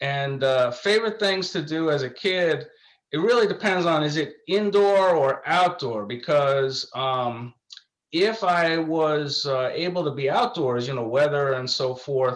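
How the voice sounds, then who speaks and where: In a New York accent, a man with a fairly high pitch talks at a fairly slow pace with lively intonation. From New York, just north of New York City. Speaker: law professor. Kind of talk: interview.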